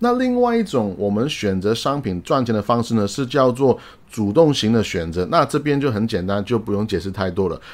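An ordinary speaking voice runs at a fairly quick pace with lively intonation and hardly any pauses. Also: man, medium pitch for a man. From outside Taiwan. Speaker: investing YouTuber. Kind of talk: solo explainer video. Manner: casual, frequent fillers and English interjections.

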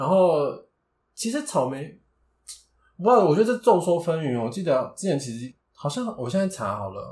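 In a very clean recording with a silent background, a man with a Taiwanese accent speaks in a high voice at a moderate pace, his pitch swinging very widely, with long, frequent pauses. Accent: Taiwanese Mandarin. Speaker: podcast co-host. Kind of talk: casual chat.

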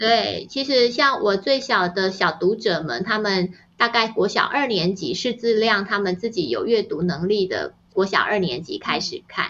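A woman of medium pitch, fairly slow, with lively intonation and hardly any pauses. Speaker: novelist and parenting author. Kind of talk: interview conversation. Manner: gentle and even-paced.

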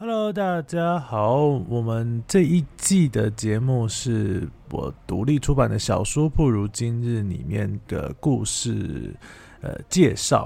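A man's medium-pitched, dark, mellow voice in a Taiwanese accent, very slow, with very wide pitch swings and a very clean recording with a silent background. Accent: Taiwanese Mandarin. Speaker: author and former teacher hosting own podcast. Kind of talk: storytelling monologue. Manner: halting, many fillers.

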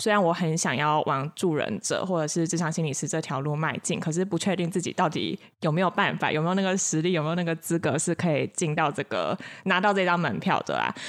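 A woman speaks in an ordinary speaking voice at a fairly quick pace, with fairly low pitch and fairly even intonation. Her loudness is very even, and the recording is very clean with a silent background. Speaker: counseling psychologist. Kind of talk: casual chat.

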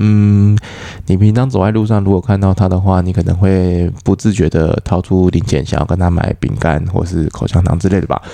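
A man's very deep, low voice at a moderate pace, with ordinary pitch variation, very even loudness and noticeable background noise. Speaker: stand-up comedian and podcast host. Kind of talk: casual chat. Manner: gentle, soft-spoken.

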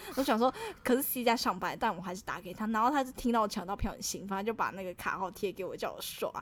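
Animated and very fast, a woman talks at a fairly high pitch. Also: ordinary pitch variation, big swings in loudness. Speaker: podcast co-host. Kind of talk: casual chat. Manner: animated, laughing often.

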